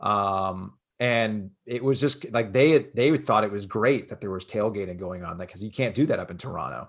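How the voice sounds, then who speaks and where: A man with a normal speaking voice talks at a moderate pace and fairly low pitch, with ordinary pitch variation and big swings in loudness. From South Florida. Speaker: sports radio host. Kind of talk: podcast interview. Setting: remote call.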